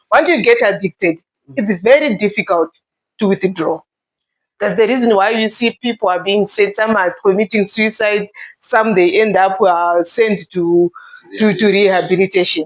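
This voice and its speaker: At a moderate pace, a woman speaks at medium pitch with ordinary pitch variation, in a dry, close sound with no echo. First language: not English. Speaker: guest in discussion. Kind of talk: casual discussion.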